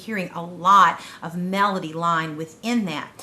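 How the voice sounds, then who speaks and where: The speech is monotone and flat, with noticeable background noise. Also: woman. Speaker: children's choir teacher. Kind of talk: tutorial. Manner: conversational.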